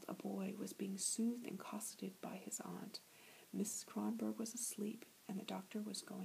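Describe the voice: Simply plain reading aloud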